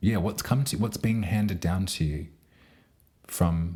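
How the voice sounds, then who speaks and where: At a moderate pace, a man talks in a dark, mellow tone that is somewhat breathy, with ordinary pitch variation. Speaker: astrologer and tarot reader. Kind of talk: astrology forecast monologue. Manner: rambling with fillers.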